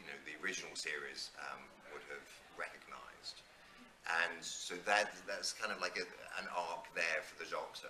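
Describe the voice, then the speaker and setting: A man speaks at a moderate pace with big swings in loudness. Audible room echo and noticeable background noise surround him. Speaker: convention panelist. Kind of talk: panel discussion.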